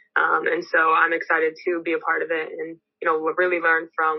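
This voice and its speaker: In an American accent, a woman speaks at a moderate pace in a fairly low pitch, her intonation monotone and flat. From Los Angeles, California. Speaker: pro basketball player. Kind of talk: press conference statement and answers. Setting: video call press conference.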